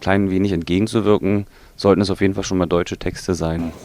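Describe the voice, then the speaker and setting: A man talks in a very deep, low pitch with monotone, flat intonation. His pace is moderate. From Germany. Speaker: metal band member. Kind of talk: interview. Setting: recording studio.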